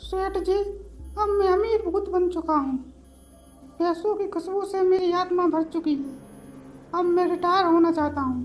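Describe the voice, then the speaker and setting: Delivered in a cartoonish character voice, the speech moves at a moderate pace with long, frequent pauses. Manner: comic, scheming.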